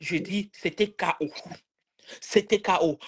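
A woman against a quiet background. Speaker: live-stream participant; live stream commentator. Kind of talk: casual live-stream chat. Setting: video call. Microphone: phone near.

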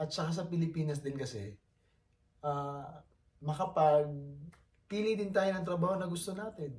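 Noticeable background noise sits behind a man talking at a moderate pace. His pitch is fairly high and his intonation lively. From Philippines. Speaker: vlogger, overseas Filipino worker. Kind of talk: casual vlog monologue.

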